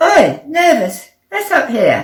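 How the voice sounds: A woman puts on a character voice, high in pitch with very wide swings. She speaks at a slow pace.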